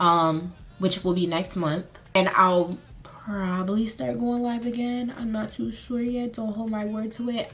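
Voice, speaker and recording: Through noticeable background noise, a woman speaks at a medium pitch with lively intonation. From US South, Charlotte, North Carolina. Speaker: beauty and lifestyle vlogger. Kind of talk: casual chat, get ready with me. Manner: casual, filler-heavy.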